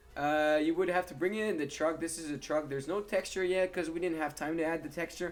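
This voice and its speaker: A man talks at a very fast pace with hardly any pauses. His pitch is high and his intonation fairly even. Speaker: gaming youtuber. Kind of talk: gameplay commentary.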